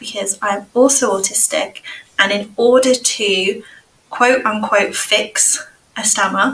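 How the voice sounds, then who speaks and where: A woman in an English accent, fairly high in pitch, with fairly even intonation at a very slow pace. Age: 30s. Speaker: speech and language therapist. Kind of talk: casual chat.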